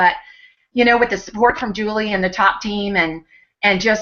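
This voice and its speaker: A woman speaks at a fairly quick pace. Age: 60s. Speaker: network marketing team member sharing her story. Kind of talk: personal testimony in a webinar hangout. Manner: hesitant, many fillers and repeats.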